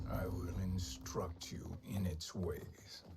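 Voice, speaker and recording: Using a put-on character voice, a man speaks at a very slow pace in a very deep, low pitch over clear background noise. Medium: video game. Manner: calm, sinister.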